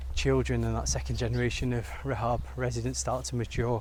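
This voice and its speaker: A man with an English accent speaks at a fairly quick pace, with audible room echo in the recording. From England, British-born Bengali. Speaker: vlogger. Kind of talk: walk-and-talk vlog. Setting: outdoors. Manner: casual.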